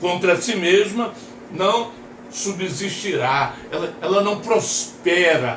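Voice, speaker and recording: Talking at a very slow speed, a man is heard with audible room echo and noticeable background noise. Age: 60s. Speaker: pastor. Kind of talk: sermon.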